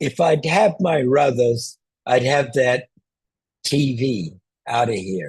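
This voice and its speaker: Very slow pace from a man at medium pitch, lively intonation broken by long, frequent pauses. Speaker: zoom tutor. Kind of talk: tutorial. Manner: loud.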